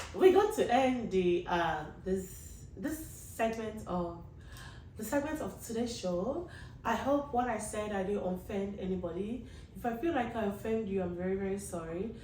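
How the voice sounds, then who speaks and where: Amid noticeable background noise and audible room echo, a woman with a medium pitch speaks at a moderate pace with lively intonation. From Africa. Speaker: vlogger / show host. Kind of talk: casual monologue to camera.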